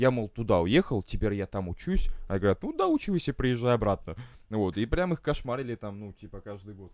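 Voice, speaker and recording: A man with an ordinary speaking voice talks at a fairly quick pace and a medium pitch, with lively intonation and big swings in loudness, on a very clean recording with a silent background. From Estonia. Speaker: guest living abroad in England. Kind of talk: casual banter chat.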